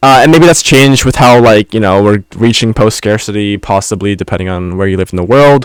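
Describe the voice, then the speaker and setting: A man talks at a fairly quick pace with hardly any pauses, his fairly low voice showing ordinary pitch variation on a very clean recording with a silent background. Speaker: podcast host. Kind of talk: casual podcast monologue. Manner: fast.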